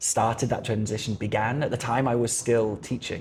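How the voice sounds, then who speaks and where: Fairly quick, fairly even speech from a man at a medium pitch. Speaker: life coach and language coach. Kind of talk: interview conversation. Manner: loud.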